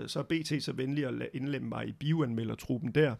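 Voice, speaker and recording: The clip has an unremarkable speaking voice at a moderate pace. The recording is very clean, with a silent background. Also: man. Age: 50s. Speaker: film critic and journalist. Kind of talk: casual chat.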